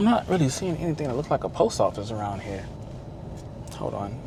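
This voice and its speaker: The man's tone is animated, and noticeable background noise runs under his speech. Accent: Texas. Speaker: travel vlogger. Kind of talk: casual vlog narration. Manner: casual, animated.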